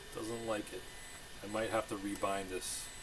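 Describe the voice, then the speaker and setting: A man mumbling at a fairly low pitch, monotone and flat, over noticeable background noise. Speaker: RC hobbyist video maker. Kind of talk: casual hands-on tutorial. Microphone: poor microphone.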